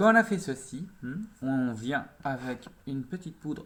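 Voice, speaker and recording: A man speaks with ordinary pitch variation. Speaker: makeup youtuber. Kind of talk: makeup tutorial. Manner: fast; animated.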